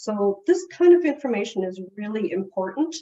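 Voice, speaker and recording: A woman talks at a fairly slow pace. Her fairly high voice makes very wide pitch swings. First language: Portuguese. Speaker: family services director presenting to caregivers. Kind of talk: presentation.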